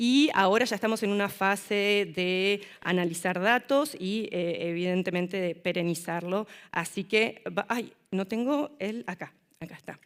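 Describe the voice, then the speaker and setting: A woman with an Argentine accent, a medium pitch and ordinary pitch variation at a fairly slow pace, on a very clean recording with a silent background. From Argentina. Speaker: city councillor and social worker. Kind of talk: conference presentation. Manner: hesitant fillers.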